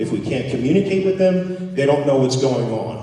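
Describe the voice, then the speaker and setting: A man with an East Coast US accent at a fairly quick pace, ordinary pitch variation, audible room echo and noticeable background noise. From US East Coast. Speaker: political candidate. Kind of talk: campaign speech.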